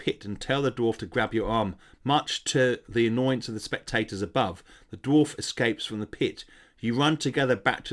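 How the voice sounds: The delivery is a natural reading voice.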